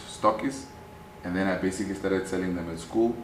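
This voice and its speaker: In a Namibian accent, a man speaks with a very deep, low pitch and fairly even intonation, amid noticeable background noise and audible room echo. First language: Oshiwambo. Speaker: activist and businessman. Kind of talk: interview.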